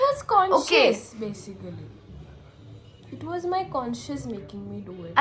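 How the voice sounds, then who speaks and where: Amid noticeable background noise, a woman speaks with big swings in loudness and long, frequent pauses. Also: moderate pace. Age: 20s. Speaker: tech podcast co-host. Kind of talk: casual podcast conversation.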